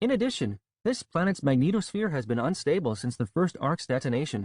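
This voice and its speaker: Using a put-on character voice, a man speaks fairly quickly at a fairly high pitch. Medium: read story. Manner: formal, precise.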